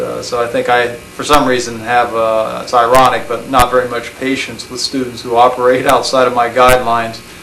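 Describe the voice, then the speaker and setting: A man with an American accent talks at a fairly quick pace in a medium pitch, his intonation monotone and flat. Noticeable background noise runs beneath him. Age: 30s. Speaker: college professor. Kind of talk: personal recorded monologue. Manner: reflective, hesitant with many fillers.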